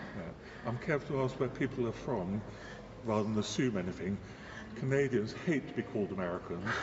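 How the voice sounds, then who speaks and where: Noticeable background noise fills the recording. Through it, a male speaker talks at a moderate pace. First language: Danish. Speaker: cathedral tour guide. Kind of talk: casual chat.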